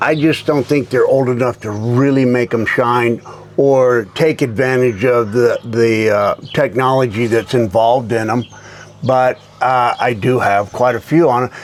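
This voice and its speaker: Over noticeable background noise, a man talks at a fairly slow pace with medium pitch and fairly even intonation. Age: 60s. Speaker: golf club company founder. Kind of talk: casual chat. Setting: tour van.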